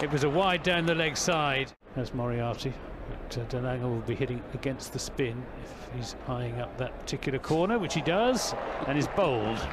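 A man talks at a moderate pace with ordinary pitch variation while noticeable background noise carries on. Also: medium pitch for a man. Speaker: cricket commentator. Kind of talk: live cricket commentary. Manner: animated, rhythmic ball-by-ball delivery, rising on big shots.

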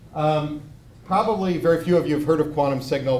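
At a very fast pace, a man speaks with ordinary pitch variation. Audible room echo and light background noise surround his voice. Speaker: robotics researcher; presenter. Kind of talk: lecture. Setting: stage with audience. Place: hall. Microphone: handheld.

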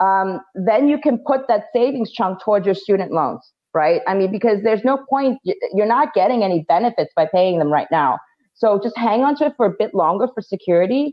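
A woman with a New York accent speaks with lively intonation and very even loudness over a quiet background. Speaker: financial education company founder, panel guest. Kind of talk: casual conversational advice. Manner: fast talker. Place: home room. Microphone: video call.

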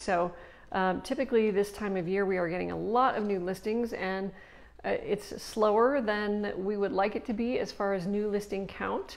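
Fairly even intonation from a woman at a moderate pace. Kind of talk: casual market update talk. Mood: cheerful, laughing a little. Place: office. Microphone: lapel.

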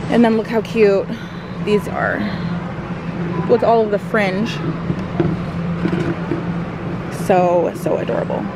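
The speech comes at a fairly slow pace with long, frequent pauses, over loud background noise, and the sound is dry with no echo. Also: woman. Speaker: mom vlogger. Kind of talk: casual vlog chat. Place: shop. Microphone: phone near.

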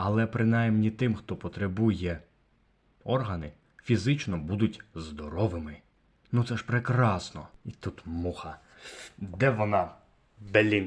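Speaking very slowly with long, frequent pauses, a man uses a fairly low pitch, ordinary pitch variation and a somewhat breathy voice against a quiet background. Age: young. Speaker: video blogger. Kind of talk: vlog monologue.

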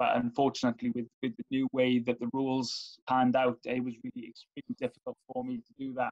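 A man speaks very fast in a Welsh accent, with hardly any pauses. His intonation is monotone and flat against a quiet background. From Wales. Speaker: former Paralympian and sport development officer; interviewee. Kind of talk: interview. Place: home room. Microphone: video call.

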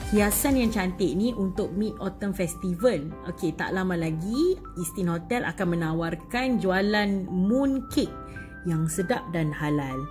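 A woman talks at a fairly slow pace. Clear music can be heard behind her. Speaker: food vlogger. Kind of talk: casual vlog chat. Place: hall. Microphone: phone near.

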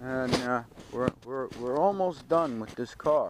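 Speaking fairly slowly with lively intonation and an American accent, a man is heard over noticeable background noise in a dry sound with no echo. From Stamford, Connecticut. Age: 50s. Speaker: car restoration hobbyist vlogger. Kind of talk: casual vlog. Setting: home garage. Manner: animated. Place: garage. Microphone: phone near.

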